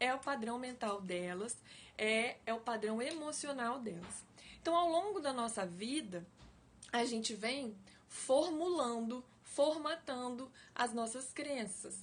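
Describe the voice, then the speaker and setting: A woman talks very slowly. Her pitch is high and her intonation lively. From Brazil, Espírito Santo. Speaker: life coach / online educator. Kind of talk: live-stream talk to viewers. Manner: slow, deliberate; engaging, conversational.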